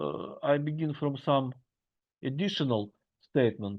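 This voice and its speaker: Speaking fairly slowly in a Russian accent, a man uses lively intonation. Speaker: university lecturer. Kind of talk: lecture. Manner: halting.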